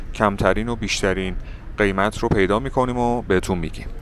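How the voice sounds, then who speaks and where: A man's fairly quick, fairly low-pitched speech with ordinary pitch variation, dry with no echo, over light background noise. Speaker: travel vlogger. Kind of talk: casual vlog narration. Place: street. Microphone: phone near.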